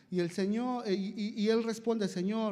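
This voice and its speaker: This is a man's voice. His pitch is high. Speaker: lay preacher. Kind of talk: sermon.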